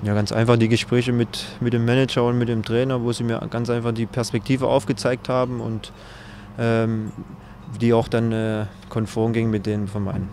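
A man talks at a moderate pace with monotone, flat intonation. The sound is dry with no echo, and there is light background noise. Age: 30s. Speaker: professional footballer. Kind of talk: interview answer. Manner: reserved, not loud. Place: open country. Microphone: handheld.

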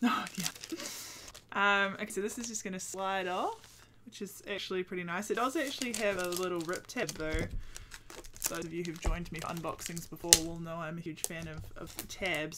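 A woman with a New Zealand accent speaks at medium pitch with ordinary pitch variation and an excited tone. Her loudness swings widely over noticeable background noise. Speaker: Twitch streamer. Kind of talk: casual unboxing talk to camera. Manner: excited, chatty. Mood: excited, delighted.

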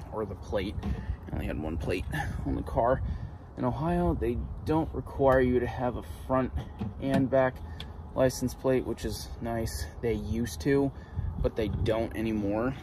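Over noticeable background noise, a man talks at a fairly slow pace with long, frequent pauses in a dry sound with no echo. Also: fairly low pitch for a man. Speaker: vlogger. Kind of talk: casual vlog chat. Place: street. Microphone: phone near.

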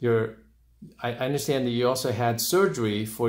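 This is a normal speaking voice from a man, medium in pitch with ordinary pitch variation. He goes at a moderate pace in a very clean recording with a silent background. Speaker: urologist. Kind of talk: interviewing a patient.

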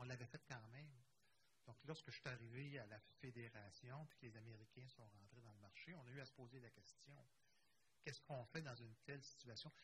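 Over light background noise, a man in a normal speaking voice talks at a fairly quick pace, his medium pitch showing ordinary variation. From Quebec. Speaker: cooperative federation director; panelist. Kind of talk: conference panel discussion. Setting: conference room with live and online audience. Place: hall. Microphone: handheld.

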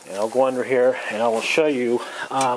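Moderately paced speech from a man, over noticeable background noise. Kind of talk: tutorial. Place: garage. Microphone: phone near.

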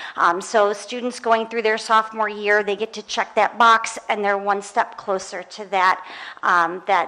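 A woman's medium-pitched voice proceeds at a moderate pace. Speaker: French teacher and department chair; teacher presenting to school board. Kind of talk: presentation. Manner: lively. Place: meeting room. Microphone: podium.

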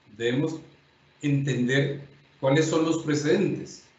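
Speaking at a fairly slow pace, a man has a fairly high, somewhat breathy voice with ordinary pitch variation. Room echo is audible. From Colombia. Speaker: judge and lecturer; judge, lecturer. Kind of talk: lecture. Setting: videoconference. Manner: formal. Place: home room. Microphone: webcam.

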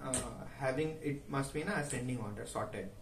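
A man at a moderate pace with ordinary pitch variation, light background noise and audible room echo. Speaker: recent graduate sharing job interview. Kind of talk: casual vlog chat. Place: home room.

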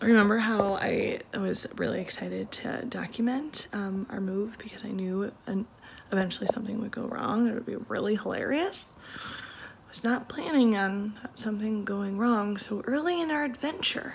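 With light background noise present, the woman's pitch varies in an ordinary way as she speaks at a moderate pace. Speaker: family vlogger. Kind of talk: casual vlog chat. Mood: frazzled but wry. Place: home room. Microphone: phone near.

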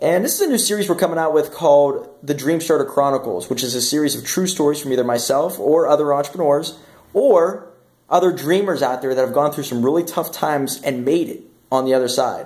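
Here a man talks at a fairly quick pace. His pitch variation is ordinary. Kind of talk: casual vlog chat. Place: home room. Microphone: phone near.

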